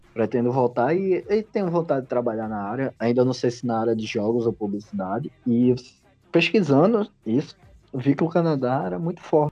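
Lively intonation and a fairly quick pace mark this man's talk in an unremarkable speaking voice. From Pernambuco, Brazil. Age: 20s. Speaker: graphic designer. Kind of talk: casual chat.

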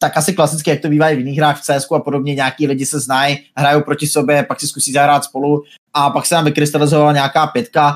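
An unremarkable speaking voice from a man, fairly high in pitch, at a fairly quick pace. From Czechia, Brno. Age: 20s. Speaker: gaming streamer. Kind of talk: casual interview.

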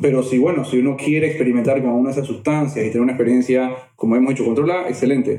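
A man rattles off words at a very fast pace, with audible room echo around him. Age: 30s. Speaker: therapist or coach. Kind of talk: casual interview chat.

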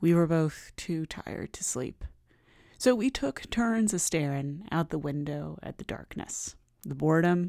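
A woman with a very deep, low pitch and a dark, mellow tone, a dramatic tone and lively intonation at a fairly slow pace, on a very clean recording with a silent background. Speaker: podcast host. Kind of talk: reading aloud lyrics in a storytelling, audiobook-like style; short scripted daily podcast narration. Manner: measured, narrative, dramatic.

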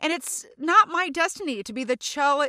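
Projecting her raised voice, a woman with an American accent sounds animated and bright, with a sharp tone, in a very clean recording with a silent background. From Louisiana. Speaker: podcast host, actor and comedian. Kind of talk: solo casual monologue. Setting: recording booth. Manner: loud.

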